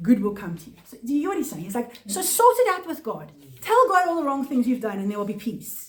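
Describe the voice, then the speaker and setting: Her high pitch makes very wide swings as this woman speaks. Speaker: Bible teacher. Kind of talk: Bible study teaching. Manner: fast; halting.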